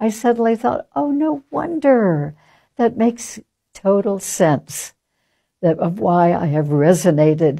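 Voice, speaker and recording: Her pitch swings very widely. This woman keeps to a fairly slow pace. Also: quiet background. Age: old. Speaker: interviewee. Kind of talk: interview answer. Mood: calm, warm, reflective.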